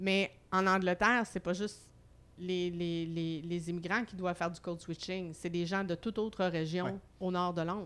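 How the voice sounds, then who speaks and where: Fairly low-pitched female voice at a moderate pace, with monotone, flat intonation. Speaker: humour researcher and comedy school director. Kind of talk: casual chat.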